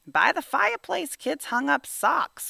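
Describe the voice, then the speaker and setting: A put-on character voice is raised and projected at a fairly high pitch. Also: moderate pace. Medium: read story. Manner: grumbling, wisecracking.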